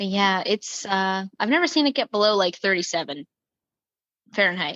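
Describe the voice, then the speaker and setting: A woman with a New York accent speaks at a medium pitch in a bright, sharp tone with lively intonation, the sound dry and close with no echo and the background quiet. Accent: New York area American accent, noticeable. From US Northeast, New Jersey (Hunterdon County). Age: 20s. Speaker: podcast guest. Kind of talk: casual chat. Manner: animated, fast.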